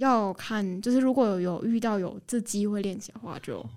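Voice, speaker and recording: On a very clean recording with a silent background, a woman with a dark, mellow tone and medium pitch speaks with fairly even intonation. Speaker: recent university graduate. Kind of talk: radio interview.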